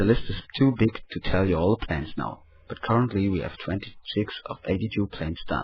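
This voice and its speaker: A man speaks in a fairly low, somewhat breathy voice with a German accent. His pace is fairly quick. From Germany. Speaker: project member giving report. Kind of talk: scripted report.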